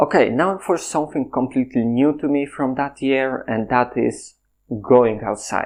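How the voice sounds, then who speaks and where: A man with a Polish accent at medium pitch with ordinary pitch variation, over a quiet background. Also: moderate pace. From Poland. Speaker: content creator. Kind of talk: casual monologue.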